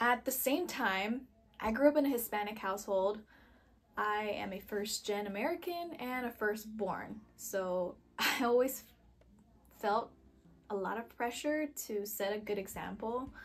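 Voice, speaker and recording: A woman with an unremarkable speaking voice talks fairly slowly at a fairly high pitch with ordinary pitch variation. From US South. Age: 20s. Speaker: photographer, former healthcare worker. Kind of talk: casual vlog monologue.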